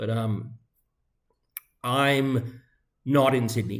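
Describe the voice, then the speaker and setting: A man speaks in a medium-pitched, somewhat breathy voice. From Canada. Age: 50s. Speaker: high school teacher. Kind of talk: rant. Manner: casual, rambling with fillers.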